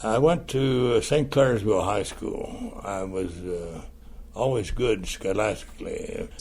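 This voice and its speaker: Speaking at a fairly slow pace, a man has a US Midwestern accent. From Ohio, US Midwest. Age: 80s+. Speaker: war veteran. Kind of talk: personal testimony interview. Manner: halting, with frequent fillers.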